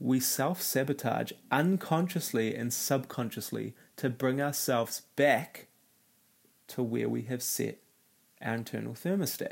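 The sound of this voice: Vocal fry runs through the speech at a fairly slow pace. Pitch variation is ordinary. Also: man, medium pitch for a man.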